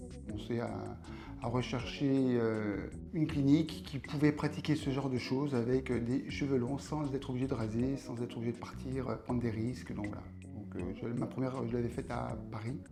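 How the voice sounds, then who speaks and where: Audible room echo surrounds this voice, which keeps a moderate pace and ordinary pitch variation. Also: man, medium pitch for a man. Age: 60s. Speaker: patient giving testimonial. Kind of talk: testimony. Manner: halting, many hesitations.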